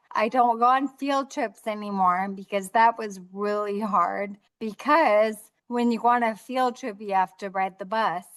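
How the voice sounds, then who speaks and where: A woman talks fairly slowly with ordinary pitch variation over a quiet background. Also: fairly high pitch for a woman. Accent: American. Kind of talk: interview conversation. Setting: video call. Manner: clear speech.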